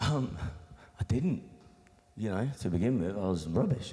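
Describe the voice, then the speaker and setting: A man with an English Midlands accent, fairly low pitch, lively intonation and a moderate pace. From Nottingham, England (born in Australia). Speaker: beatboxer and musician. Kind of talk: interview. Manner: casual, halting with many fillers.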